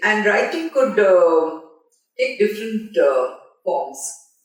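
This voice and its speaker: Her pitch swinging very widely, a woman speaks at a fairly slow pace with audible room echo. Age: 70s. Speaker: film journalist. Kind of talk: interview. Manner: halting.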